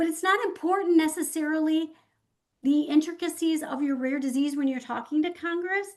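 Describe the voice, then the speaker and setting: A woman with a Midwestern accent, extremely high pitch, ordinary pitch variation and a fairly quick pace. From US Midwest, Michigan. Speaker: patient advocate. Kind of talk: virtual town hall talk.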